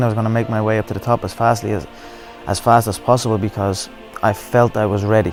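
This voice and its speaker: Music plays in the background as the speaker talks in a Dublin accent. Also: man. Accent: Irish (Dublin). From Dublin, Ireland. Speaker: mixed martial arts fighter. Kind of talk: interview answer. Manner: confident.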